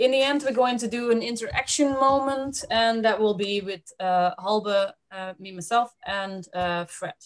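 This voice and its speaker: Fairly slow speech against a quiet background. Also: woman. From Netherlands. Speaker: webinar host. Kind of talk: presentation. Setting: web seminar. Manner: halting. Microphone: video call.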